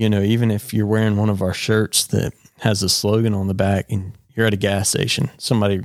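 A man with a North Carolina accent talks at a fairly quick pace in a fairly low pitch, keeping his intonation fairly even. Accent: US Southern (North Carolina). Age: 20s. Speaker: podcast host, apparel company owner. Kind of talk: casual chat, faith testimony.

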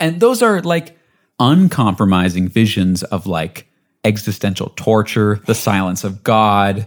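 In a very clean recording with a silent background, a man speaks at a fairly slow pace and fairly low pitch. His tone is animated and his intonation lively. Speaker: podcast host. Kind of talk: casual banter podcast chat. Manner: joking, animated, interrupts playfully.

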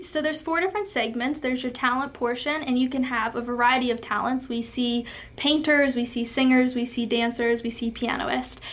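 A woman with an American accent speaks at a fairly quick pace in a high pitch. Her pitch varies in an ordinary way over noticeable background noise. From western Pennsylvania. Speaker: pageant titleholder and college student. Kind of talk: interview.

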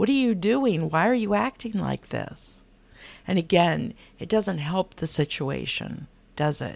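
On a very clean recording with a silent background, a woman speaks at a fairly slow pace with a fairly low pitch, vocal fry and very wide pitch swings. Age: middle-aged. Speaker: podcast host and life coach. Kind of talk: solo podcast monologue.

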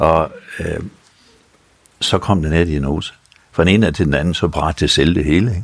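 A man talks with a very deep, low pitch and ordinary pitch variation. His pace is moderate, broken by long, frequent pauses. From North Jutland, Denmark. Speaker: retired dentist, prostate cancer patient. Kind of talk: interview.

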